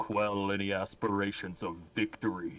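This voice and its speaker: A man puts on a character voice. His pitch is fairly low, and his pace is moderate. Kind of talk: serious, deliberate. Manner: grave, menacing.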